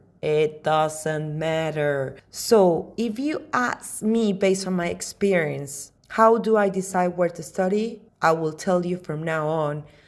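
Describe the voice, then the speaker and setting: Speaking at a very slow pace, a woman keeps a fairly low pitch with ordinary pitch variation. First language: Spanish. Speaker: podcaster, study-abroad adviser. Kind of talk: podcast monologue.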